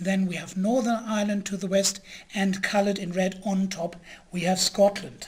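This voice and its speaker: A man with an English accent speaks in a high pitch. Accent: English-sounding. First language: German. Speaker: lecturer, historian. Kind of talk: lecture. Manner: halting with fillers.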